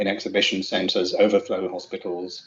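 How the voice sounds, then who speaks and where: A man talks at a fairly quick pace in a fairly low pitch. His intonation is flat and monotone. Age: 50s. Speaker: finance expert and invited speaker. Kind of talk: answering audience question.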